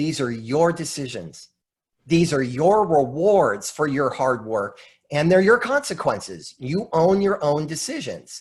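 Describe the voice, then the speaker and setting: Against a quiet background, a man with a fairly high pitch talks fairly slowly in a somewhat breathy, animated tone, his pitch swinging very widely. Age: 50s. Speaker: motivational speaker and coach. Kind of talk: presentation on a group video call.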